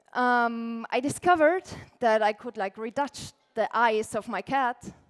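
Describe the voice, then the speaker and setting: With an Austrian accent, a woman speaks at a fairly high pitch with ordinary pitch variation. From Austria, Tyrol. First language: German. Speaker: illustrator and lettering artist, conference speaker. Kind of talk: conference talk. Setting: stage with audience. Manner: casual, frequent filler words.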